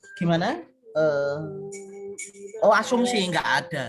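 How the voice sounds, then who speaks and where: Over music in the background, a man talks in a high, shrill voice with ordinary pitch variation. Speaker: university lecturer. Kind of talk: online class lecture. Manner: casual, conversational.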